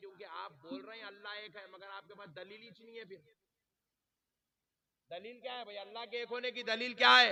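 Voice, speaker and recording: A man speaks in a raised, projected voice with a high pitch. His loudness swings widely, while his pitch variation is ordinary. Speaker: Islamic preacher. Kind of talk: religious sermon to a live gathering. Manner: emphatic, rousing.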